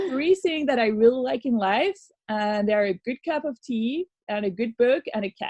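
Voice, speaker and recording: A woman's dark, mellow tone in a French accent. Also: dry, close sound with no echo. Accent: French accent, noticeable. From France. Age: 30s. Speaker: radio show host, former youth worker. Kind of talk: casual podcast chat. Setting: remote recording.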